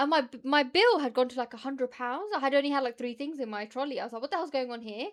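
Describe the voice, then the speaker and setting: A woman talks at a very fast pace in an animated tone. Her pitch is high. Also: ordinary pitch variation, hardly any pauses. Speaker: streamer reacting to videos. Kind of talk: casual chat.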